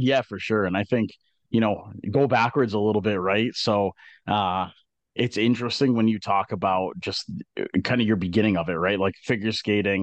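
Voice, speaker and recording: A man has an unremarkable speaking voice with a fairly low pitch and fairly even intonation at a moderate pace. The sound is dry and close with no echo, over a quiet background. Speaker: podcast co-host and college hockey coach. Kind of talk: casual interview chat.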